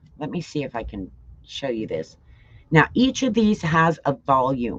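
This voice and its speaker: The voice swings widely in loudness and very widely in pitch, moving at a fairly slow pace with vocal fry. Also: woman, very deep, low pitch for a woman. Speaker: livestream product presenter and car show videographer. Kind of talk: live product demo stream. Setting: livestream. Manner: casual, chatty.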